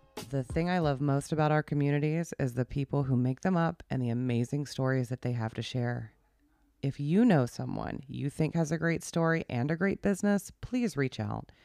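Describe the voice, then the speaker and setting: A woman's very deep, low-pitched voice in an American accent, dark and mellow in tone, at a moderate pace with lively intonation. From South Carolina. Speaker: podcast host and realtor. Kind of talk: casual interview.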